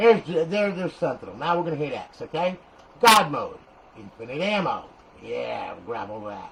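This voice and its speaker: A man with a New Jersey accent speaks at a moderate pace in a high pitch, with very wide pitch swings and big swings in loudness. There is audible room echo and noticeable background noise. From New Jersey (Paterson). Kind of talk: tutorial. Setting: garage. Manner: animated.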